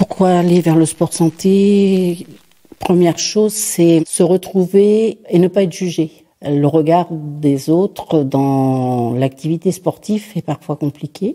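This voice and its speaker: A woman speaks at a very slow pace in a fairly low voice. Her pitch varies in an ordinary way while her loudness swings widely. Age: 60s. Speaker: adapted sport participant. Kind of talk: testimony.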